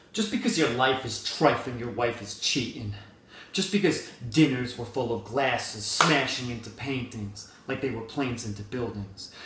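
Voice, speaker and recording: Medium-pitched male voice at a moderate pace, with ordinary pitch variation, big swings in loudness and noticeable background noise. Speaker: spoken word poet. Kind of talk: slam poetry performance. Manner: angry, intense.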